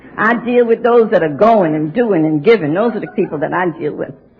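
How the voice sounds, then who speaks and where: A woman with an American accent, fairly high pitch, and an animated tone, very wide pitch swings, a fairly quick pace, and noticeable background noise. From New York. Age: 70s. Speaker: AA speaker. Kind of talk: testimony. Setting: stage with audience.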